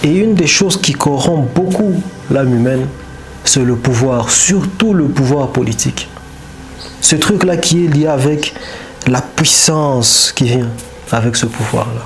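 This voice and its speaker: A man with a fairly high pitch speaks very slowly, with long, frequent pauses and lively intonation at very even loudness. Audible room echo and noticeable background noise surround him. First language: not French (speaking French). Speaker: commentator on history and power. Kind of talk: monologue commentary. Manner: halting, with repetitions.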